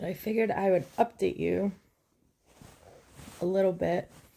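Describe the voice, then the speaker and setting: A woman speaks quietly. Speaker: vlogger. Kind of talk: casual update to viewers.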